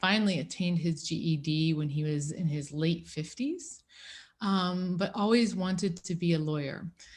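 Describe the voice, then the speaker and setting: On a very clean recording with a silent background, a woman speaks somewhat breathily at a fairly slow pace with a fairly low pitch. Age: 40s. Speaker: lawyer and seminar speaker. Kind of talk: talk to students. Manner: hesitant, many fillers.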